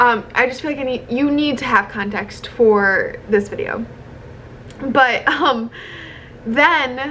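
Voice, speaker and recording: A woman with an American accent in a raised, projected voice, high in pitch, at a very slow pace with long, frequent pauses over noticeable background noise. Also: ordinary pitch variation. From US Midwest, Chicago. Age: 20s. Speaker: content creator. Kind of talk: casual vlog monologue. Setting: hotel room. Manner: chatty, many fillers.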